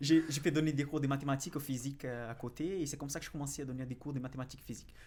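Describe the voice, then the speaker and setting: A man with a Brazilian accent at a very fast pace, fairly high in pitch with fairly even intonation. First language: Portuguese (speaking French). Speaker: financial analyst and investing YouTuber. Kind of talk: podcast interview. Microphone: far from the mic.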